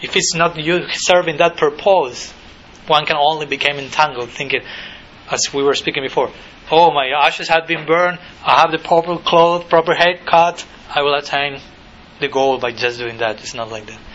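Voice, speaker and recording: Amid noticeable background noise, a man with a Spanish accent and a fairly high pitch talks at a moderate pace, with ordinary pitch variation and big swings in loudness. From Argentina. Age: 30s. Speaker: monk and spiritual teacher. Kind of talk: lecture. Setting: college lecture hall with audience.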